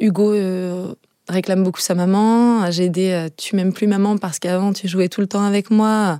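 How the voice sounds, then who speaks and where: This woman has a dark, mellow tone and talks at a moderate pace with monotone, flat intonation. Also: medium pitch for a woman, very clean recording, silent background. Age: 30s. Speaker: mother with cancer. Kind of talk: testimony.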